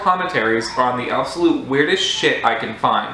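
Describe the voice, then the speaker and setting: A man speaks at a moderate pace. Audible room echo and light background noise come through. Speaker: video commentator. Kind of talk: comedic commentary. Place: home room.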